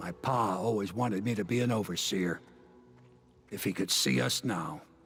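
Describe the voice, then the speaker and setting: A raspy, fairly low-pitched put-on character voice from a man, moderate in pace with lively intonation, clear music in the background. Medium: video game.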